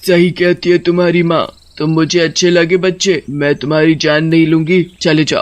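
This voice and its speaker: Using a cartoonish character voice, a man speaks at a moderate pace with a high pitch. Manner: cackling.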